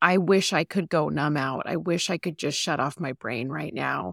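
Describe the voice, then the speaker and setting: With vocal fry and a very deep, low pitch, a woman speaks at a fairly slow pace in a very clean recording with a silent background. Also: dry, close sound with no echo. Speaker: podcast host. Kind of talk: casual chat.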